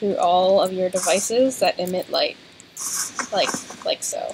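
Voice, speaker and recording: A soft-spoken woman mumbles at a medium pitch with ordinary pitch variation. Noticeable background noise runs beneath her. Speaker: gaming co-host. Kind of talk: let's play gaming chat. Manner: mumbling.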